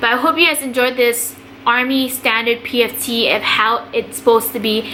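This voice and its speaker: Over noticeable background noise, a woman with an American accent speaks at a fairly high pitch with fairly even intonation. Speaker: army NCO and vlogger. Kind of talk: casual tutorial vlog. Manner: fast; casual.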